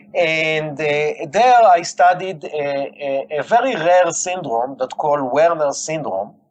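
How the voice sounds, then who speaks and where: With a strong Israeli accent, a man speaks in a fairly high voice with lively intonation. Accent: heavy Israeli. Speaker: scientist and company founder. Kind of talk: interview. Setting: phone call. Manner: halting with many fillers.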